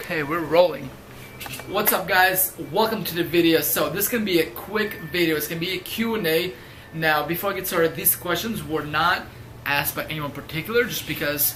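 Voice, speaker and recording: Against noticeable background noise, the speech runs at a fairly quick pace. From Ukraine, moved to US at ten. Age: 20s. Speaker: fitness youtuber. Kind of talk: casual Q&A vlog.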